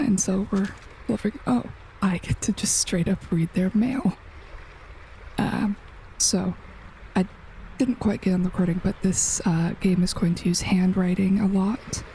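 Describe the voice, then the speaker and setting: Soft-spoken, a woman talks with ordinary pitch variation and long, frequent pauses. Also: medium pitch for a woman, moderate pace. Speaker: gaming youtuber. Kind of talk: let's play commentary. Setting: home recording at night.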